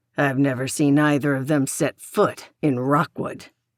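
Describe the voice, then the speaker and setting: At a moderate pace, a woman does a put-on character voice pitched very deep and low, with a dry, close sound and no echo. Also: fairly even intonation. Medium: read story. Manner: doubtful, questioning.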